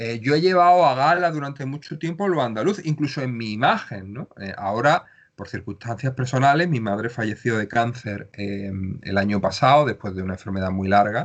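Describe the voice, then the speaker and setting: Speaking at a moderate pace, a man makes very wide pitch swings. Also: quiet background. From Andalusia, Cádiz province (Jerez, El Puerto, Cádiz). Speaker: writer and playwright. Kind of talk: interview.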